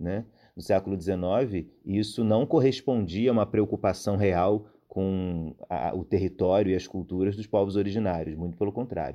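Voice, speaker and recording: At a moderate pace, a man talks in a fairly low pitch with a dark, mellow tone. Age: 20s. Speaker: researcher and lecturer in literature. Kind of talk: podcast lecture-style explanation. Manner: hesitant, with fillers.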